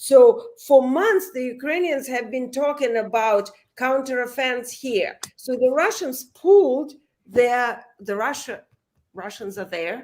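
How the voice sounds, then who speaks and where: A woman's high voice at a very slow pace, with lively intonation and big swings in loudness. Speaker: author and reporter. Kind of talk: remote interview, field report. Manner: halting, many fillers.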